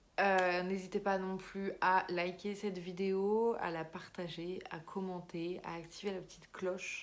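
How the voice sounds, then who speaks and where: In a room with audible echo, a woman speaks at a medium pitch, fairly slow and monotone. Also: hardly any pauses. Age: 20s. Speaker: YouTuber and amateur writer. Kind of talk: casual vlog talk. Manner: hesitant, many fillers.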